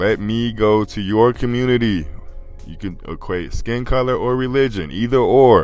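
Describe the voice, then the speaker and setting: This man has an ordinary speaking voice, talking at a fairly slow pace with ordinary pitch variation. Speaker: podcast commentator. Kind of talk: casual commentary monologue.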